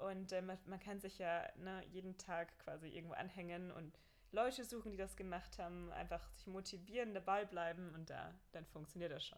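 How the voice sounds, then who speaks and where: At a moderate pace, a woman with a medium pitch and vocal fry talks with ordinary pitch variation. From Bavaria (Mühldorf). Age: 20s. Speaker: marathon runner and entrepreneur. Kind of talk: casual interview.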